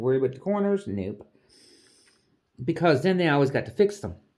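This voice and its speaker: Loud and fairly quick, a woman talks. Her pitch swings very widely. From Canada. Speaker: craft hobby vlogger. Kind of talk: casual chat while crafting. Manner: rambling, halting; slightly loud. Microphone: voice aimed at canvas, maybe muffled.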